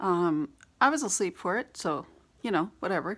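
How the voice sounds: A raspy woman's voice, fairly low and fairly bright, with lively intonation at a moderate pace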